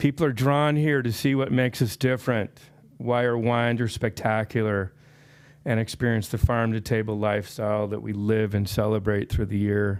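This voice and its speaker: A man talks in a normal speaking voice at medium pitch and a moderate pace, with ordinary pitch variation. The recording is very clean, with a silent background. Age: 60s. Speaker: public commenter at county meeting. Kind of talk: public comment speech.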